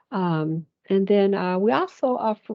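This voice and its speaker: Her medium-pitched voice carries lively intonation as the woman speaks. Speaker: family service advocate. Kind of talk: presentation. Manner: hesitant, many fillers.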